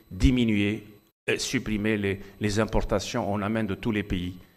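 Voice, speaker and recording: A man with an Algerian accent, fairly low in pitch and fairly even in intonation, at a moderate pace over a quiet background. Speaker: physician speaking at medical congress. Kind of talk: conference talk. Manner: hesitant, repeats words.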